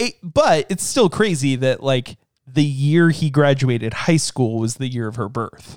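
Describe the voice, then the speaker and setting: Fairly high in pitch with ordinary pitch variation, a man with a plain, everyday voice speaks at a fairly slow pace. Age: 30s. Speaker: podcast co-host. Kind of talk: casual chat.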